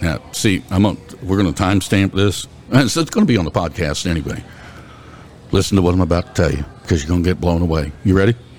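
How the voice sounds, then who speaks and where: Over noticeable background noise, a man with an American accent talks at a very fast pace in a very deep, low pitch with ordinary pitch variation. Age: 50s. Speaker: podcast host. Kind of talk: casual chat.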